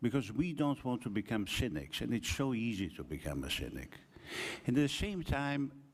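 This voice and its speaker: Very wide pitch swings mark this man's medium-pitched voice, which has vocal fry. The recording is very clean, with a silent background. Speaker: academic speaker. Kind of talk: conference talk. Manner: slow.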